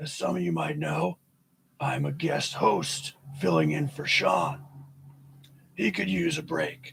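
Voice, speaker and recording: A man puts on a raspy character voice at medium pitch. He speaks at a fairly slow pace with long, frequent pauses. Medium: solo performance.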